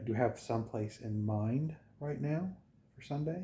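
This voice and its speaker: A somewhat breathy man's voice with a dark, mellow tone at a fairly slow pace. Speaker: travel vlogger. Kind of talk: casual vlog talk to camera. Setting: indoors at a home at night, others asleep. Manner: halting, many fillers; quiet, keeping voice down.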